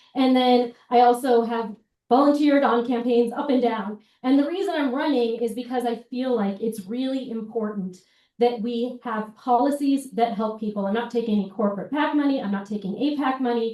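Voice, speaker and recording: A woman speaks with a dark, mellow tone. Her pitch is high. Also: ordinary pitch variation. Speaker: congressional candidate. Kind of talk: campaign speech at a town hall. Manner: fast.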